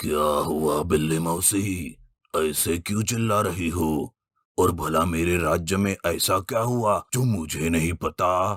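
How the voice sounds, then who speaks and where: In a cartoonish character voice, a man speaks at a very slow pace with a very deep, low pitch on a very clean recording with a silent background. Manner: authoritative.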